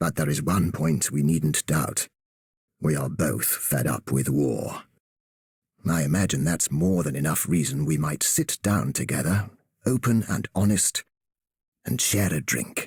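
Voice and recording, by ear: A man uses a put-on character voice with extremely low pitch, vocal fry and a husky, rough edge. He speaks at a fairly slow pace with lively intonation and a slightly mellow tone.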